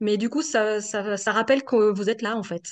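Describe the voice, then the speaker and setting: A woman is speaking. Her pitch is fairly high. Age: 50s. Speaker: coaching client, executive assistant. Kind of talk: testimonial interview. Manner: hesitant, many fillers.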